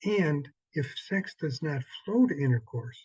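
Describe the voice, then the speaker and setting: The man's tone is dark and mellow, somewhat breathy. The sound is dry and close, with no echo. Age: 70s. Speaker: sex therapist. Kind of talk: workshop promo talk.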